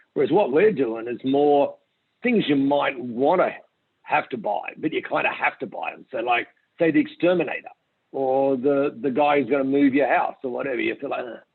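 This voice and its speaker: With an Australian accent, a man talks at a moderate pace in a fairly high pitch, using ordinary pitch variation. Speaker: company founder and CEO. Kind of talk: interview.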